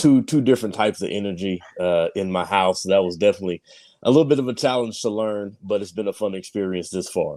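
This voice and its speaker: Very fast speech with an American accent, a dark, mellow tone and ordinary pitch variation comes through in a very clean recording with a silent background. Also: man, fairly low pitch for a man. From Oklahoma (Sapulpa). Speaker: father, podcaster. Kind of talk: casual podcast conversation.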